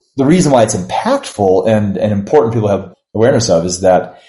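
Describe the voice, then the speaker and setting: Somewhat breathy and fairly low in pitch, a man's voice carries a dark, mellow tone at a moderate pace. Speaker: university provost. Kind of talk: interview.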